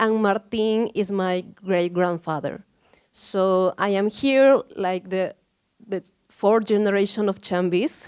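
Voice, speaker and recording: The sound is dry and close with no echo as a woman speaks in a Peruvian accent. Her pitch is medium with ordinary variation, and her pace is very slow. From Peru, Cusco. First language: Spanish. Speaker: photography researcher. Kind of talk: conference talk. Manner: halting.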